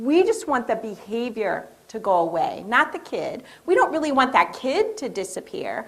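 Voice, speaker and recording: A woman's voice with audible room echo. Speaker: education behavior specialist. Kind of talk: lecture. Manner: animated.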